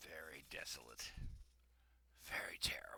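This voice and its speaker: Raspy and put-on, a man's character voice moves at a moderate pace. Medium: read story. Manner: terse, relishing, contemptuous.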